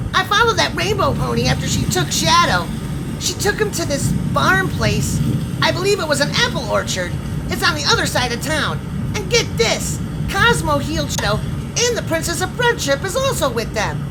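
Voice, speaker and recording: Loud background noise sits behind a put-on character voice at a moderate pace. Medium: audio drama. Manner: cheeky, fast, gleeful.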